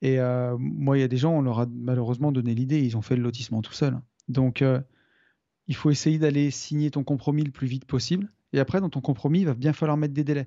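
Fairly quick and fairly even in intonation, a man speaks at medium pitch in an ordinary speaking voice. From France, Loire near Saint-Étienne. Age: 40s. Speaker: property developer and investor. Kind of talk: interview.

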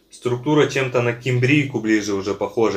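A man speaks with fairly even intonation at a moderate speed, his voice somewhat breathy. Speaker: online seller and video blogger reviewing edible clay and chalk. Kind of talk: casual product review video while tasting. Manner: relaxed, with many fillers. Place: home room. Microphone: phone near.

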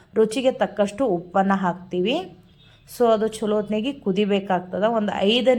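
Here a woman talks. The pitch variation in her voice is ordinary. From North Karnataka, India. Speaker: home food business owner, YouTuber. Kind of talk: cooking tutorial and vlog narration.

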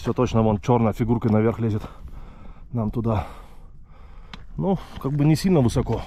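A man with a dark, mellow tone and medium pitch speaks with lively intonation. He leaves long, frequent pauses. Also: moderate pace. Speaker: hiking vlogger. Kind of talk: casual vlog narration while hiking. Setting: outdoors, mountain trail. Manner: casual, halting.

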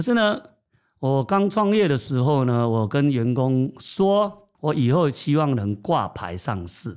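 On a very clean recording with a silent background, a man speaks at a very slow pace in a fairly high pitch, with very wide pitch swings. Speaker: company chairman. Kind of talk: interview.

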